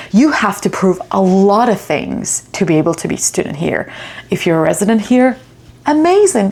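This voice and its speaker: A woman's pitch swings very widely as she talks. Noticeable background noise runs underneath. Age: 30s. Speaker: vlogger, international student. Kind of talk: personal vlog monologue. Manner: emotional, reflective.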